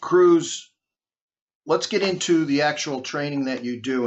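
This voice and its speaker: Speaking with a Boston accent, a man keeps a moderate pace and ordinary pitch variation. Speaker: podcast host, maritime law enforcement trainer. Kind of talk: interview podcast.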